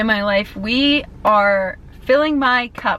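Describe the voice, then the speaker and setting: Her tone animated, a woman talks in a fairly high pitch with ordinary pitch variation. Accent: American. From US Mid-Atlantic (Maryland). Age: 20s. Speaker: lifestyle vlogger. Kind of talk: casual vlog talk to camera. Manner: chatty, animated.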